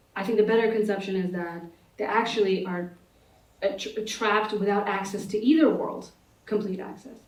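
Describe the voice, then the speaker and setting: Amid noticeable background noise and audible room echo, a woman of medium pitch speaks at a moderate pace with fairly even intonation and long, frequent pauses. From United States, Pakistani immigrant family. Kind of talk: panel discussion. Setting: conference stage with audience. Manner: halting, many fillers and restarts.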